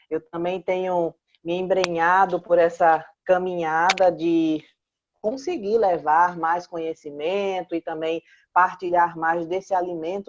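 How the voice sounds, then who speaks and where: In a Pernambuco accent, a woman speaks fairly slowly at a fairly low pitch with monotone, flat intonation, recorded with a dry, close sound and no echo. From Pernambuco, northeastern Brazil. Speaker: clinical psychologist. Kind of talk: talk show interview.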